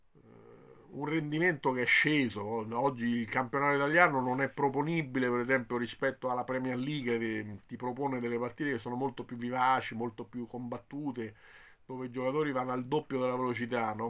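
A man's bright, sharp tone at a fairly quick pace, with fairly even intonation. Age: 50s. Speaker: football commentator. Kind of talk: video commentary. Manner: hesitant, with fillers. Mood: disappointed, resigned. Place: home room. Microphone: phone near.

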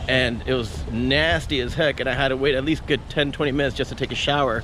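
A man at a fairly quick pace, dry sound with no echo, light background noise. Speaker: travel vlogger. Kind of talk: casual vlog chat. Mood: joking, relaxed. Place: street. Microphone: phone near.

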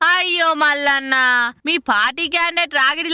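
A woman's high-pitched, bright and sharp voice at a fairly quick pace, with ordinary pitch variation and a dry, close sound with no echo.

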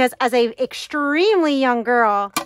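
A woman talks at a very slow pace in a high pitch, her intonation lively. The sound is dry with no echo, though background noise is noticeable. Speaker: home decluttering vlogger. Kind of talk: casual vlog chat. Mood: nostalgic, reflective. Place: home room. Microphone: phone near.

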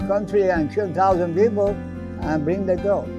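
Clear music plays behind a man speaking in a high voice. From Iran. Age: 80s+. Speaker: candy store owner. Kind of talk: interview answer. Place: shop.

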